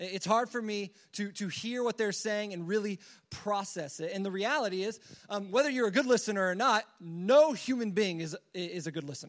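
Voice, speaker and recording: At a fairly quick pace, a man speaks at a high pitch with ordinary pitch variation over a quiet background. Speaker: student pastor. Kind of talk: sermon. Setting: church. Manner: fast talker; filler words, informal.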